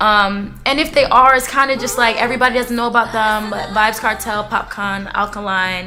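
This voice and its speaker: Over music in the background, a woman with a fairly high pitch speaks in an animated tone with hardly any pauses. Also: moderate pace. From Philadelphia, US, Jamaican parents. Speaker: singer. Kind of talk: interview.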